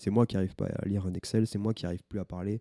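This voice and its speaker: The delivery is fairly quick and flat, in a monotone. The tone is dark and mellow, and the sound is dry and close with no echo. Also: man. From southern France, small village. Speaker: podcast co-host. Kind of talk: testimony. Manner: halting.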